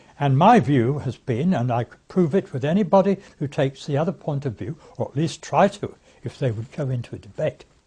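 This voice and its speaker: A man speaks with a fairly high pitch and an English accent. His voice is somewhat breathy, with a dark, mellow tone and lively intonation. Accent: English, older RP-style. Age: 80s+. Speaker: campaign speaker, former politician. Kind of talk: recorded political talk. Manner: halting, with many fillers; formal.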